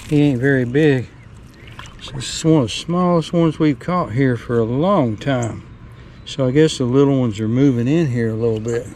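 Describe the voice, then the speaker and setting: Amid noticeable background noise, a man speaks at a medium pitch and moderate pace with ordinary pitch variation. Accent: Southern US. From Tennessee. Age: 60s. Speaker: bank fisherman. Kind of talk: casual talk to camera. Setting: outdoors.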